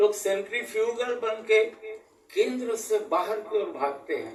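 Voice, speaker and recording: A man in a Varanasi accent speaks with very wide pitch swings. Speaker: local history expert. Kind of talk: interview answer.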